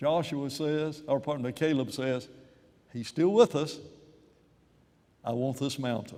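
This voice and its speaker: Marked by long, frequent pauses, the voice has a dark, mellow tone, ordinary pitch variation and a fairly slow pace. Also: man, fairly high pitch for a man. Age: 80s+. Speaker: preacher. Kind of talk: sermon.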